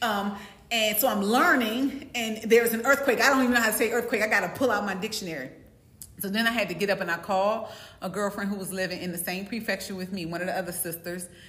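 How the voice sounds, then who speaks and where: Speech comes at a very fast pace in an American accent, with ordinary pitch variation. Noticeable background noise and audible room echo fill the recording. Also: woman, medium pitch for a woman. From US East Coast. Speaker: co-host. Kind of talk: casual chat.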